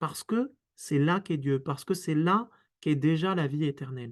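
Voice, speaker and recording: With a quiet background behind him, a man speaks at a fairly slow pace in a fairly high voice with lively intonation. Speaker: Jesuit priest and author. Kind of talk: webinar talk. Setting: online webinar. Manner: halting, repetitions and fillers.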